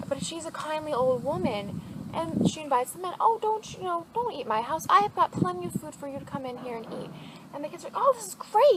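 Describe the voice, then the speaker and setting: This woman's pitch swings very widely as she talks fairly quickly, with noticeable background noise behind her. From Germany. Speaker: student / vlogger. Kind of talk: casual storytelling to camera. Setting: outdoors.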